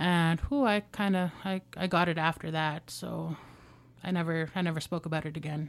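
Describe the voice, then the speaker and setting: In a Canadian accent, a woman with an unremarkable speaking voice talks at a moderate pace in a fairly low pitch with fairly even intonation, on a very clean recording with a silent background. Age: 20s. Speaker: former youth in care, student. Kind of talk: personal testimony in interview. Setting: radio studio.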